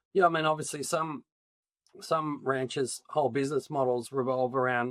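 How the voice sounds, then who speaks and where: A man with an Australian accent at a moderate pace, dry and close with no echo. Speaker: agtech company founder. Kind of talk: interview. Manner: hesitant, many fillers.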